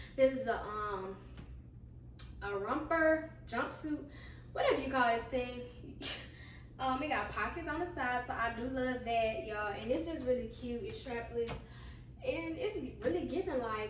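In a high voice, a woman speaks at a fairly slow pace with long, frequent pauses. Audible room echo and light background noise are present. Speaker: fashion vlogger. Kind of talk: casual try-on haul chat. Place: home room. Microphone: camera far.

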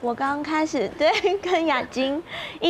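Light background noise sits behind a woman's voice. Her pitch moves in an ordinary way. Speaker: voice actor. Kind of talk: casual chat. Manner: animated. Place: studio. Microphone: lapel.

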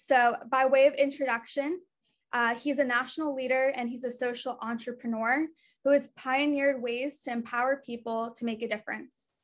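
A woman speaks at a moderate pace in a high pitch, her intonation monotone and flat, against a quiet background. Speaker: program director. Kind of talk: virtual event hosting. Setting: video call. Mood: warm, earnest. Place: home room. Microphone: webcam.

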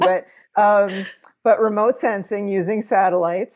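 The setting is quiet. A woman's speech moves at a moderate pace. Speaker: interview guest. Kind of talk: interview answer. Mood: calm, friendly. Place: home room. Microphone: earbuds.

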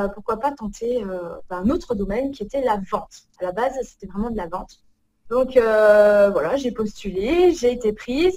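Against a quiet background, a woman talks at a very slow pace with lively intonation. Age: 30s. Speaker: organization coach. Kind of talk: casual interview. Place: home room. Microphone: video call.

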